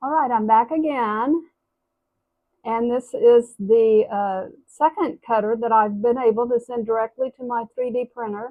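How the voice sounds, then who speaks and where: A woman speaks with a fairly high pitch and ordinary pitch variation. It is an ordinary speaking voice. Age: 60s. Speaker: potter. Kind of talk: casual talk to camera.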